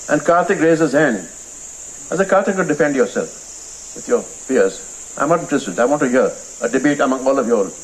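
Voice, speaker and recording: Over noticeable background noise, a man with a fairly high pitch talks at a very fast pace with lively intonation and long, frequent pauses. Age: 70s. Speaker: film director and author. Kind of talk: interview at a literary festival. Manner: animated.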